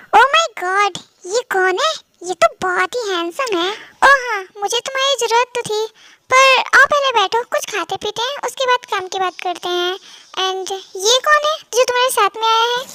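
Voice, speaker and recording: A woman uses a put-on character voice, squeaky and extremely high-pitched. Her intonation is lively, and the sound is dry and close with no echo. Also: moderate pace. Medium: read story. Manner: casual, chatty.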